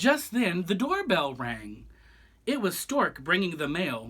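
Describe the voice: The voice has a fairly bright tone with a slightly husky edge. It moves at a slow pace with very wide pitch swings.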